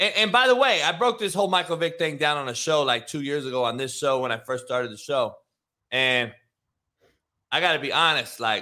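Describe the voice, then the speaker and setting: A man speaks at a fairly quick pace in an animated tone. His fairly high voice makes very wide pitch swings. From Compton, Los Angeles. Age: 40s. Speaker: football coach and show host. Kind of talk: casual sports talk show. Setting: live show.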